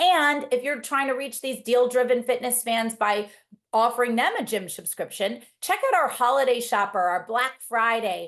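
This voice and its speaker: Her pitch is high, and this woman uses ordinary pitch variation. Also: moderate pace. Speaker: marketing executive hosting a webinar. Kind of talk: webinar presentation. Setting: video call.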